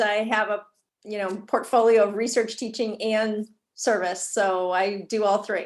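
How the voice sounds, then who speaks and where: Against a quiet background, a woman with a fairly high pitch talks at a fairly slow pace. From Boston area, Massachusetts. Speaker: psychology professor. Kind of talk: interview.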